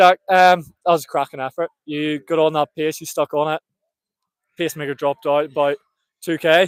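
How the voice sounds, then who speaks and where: A man with a Northern Irish accent talks at a fairly quick pace in a fairly high pitch, his intonation monotone and flat. He leaves long, frequent pauses, and the sound is dry and close with no echo. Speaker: race commentator. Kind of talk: live commentary and trackside interview. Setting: outdoors at athletics track, live stream.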